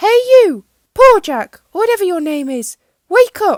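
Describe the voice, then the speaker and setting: A woman's put-on character voice, squeaky and extremely high in pitch, with very wide pitch swings at a moderate pace. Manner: shouting, rough.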